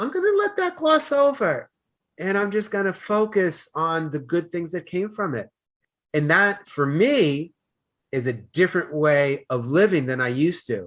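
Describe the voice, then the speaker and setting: Against a quiet background, a man with an American accent speaks at a moderate pace. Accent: Boston, comes out occasionally. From US Northeast, Boston. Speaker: life coach. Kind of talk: podcast interview. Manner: loud.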